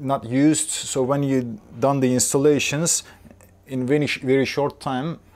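A man talks at a fairly slow pace with fairly even intonation. His pitch is medium and his tone slightly mellow.

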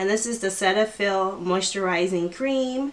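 At a fairly slow pace, a woman talks with ordinary pitch variation. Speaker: beauty vlogger. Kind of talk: casual vlog chat. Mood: cheerful, excited. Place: home room.

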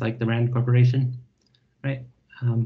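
A man's somewhat breathy, dark, mellow voice, monotone and flat, at a fairly quick pace over a quiet background. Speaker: speaker. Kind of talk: lecture. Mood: friendly, relaxed. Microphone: video call.

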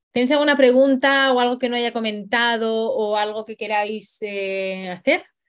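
A fairly high-pitched woman at a fairly slow pace with ordinary pitch variation against a quiet background. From Spain. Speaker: dog trainer. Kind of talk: live online workshop. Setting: livestream. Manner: animated; hesitant, many fillers. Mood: cheerful, enthusiastic. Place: home room. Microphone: video call.

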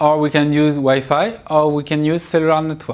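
A man with a French accent and a fairly high pitch talks at a moderate pace. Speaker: university computer science lecturer. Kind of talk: recorded university lecture. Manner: hesitant, many filler sounds. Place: classroom.

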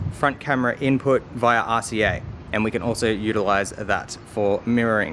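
A man's fairly even intonation and moderate pace come through over light background noise. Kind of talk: casual vlog tutorial. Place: workshop. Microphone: phone near.

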